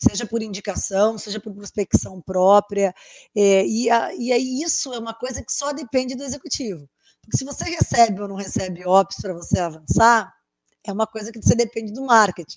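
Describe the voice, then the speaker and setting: With a normal speaking voice, a woman talks at a moderate pace and a fairly high pitch, with lively intonation and big swings in loudness, in a dry, close sound with no echo. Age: 40s. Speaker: sales consultant and podcast host. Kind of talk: casual interview chat.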